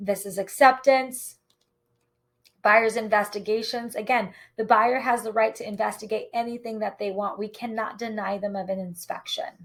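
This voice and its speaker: A woman with an unremarkable speaking voice talks at a moderate pace, her fairly high pitch carried on fairly even intonation. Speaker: real estate agent. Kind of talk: tutorial.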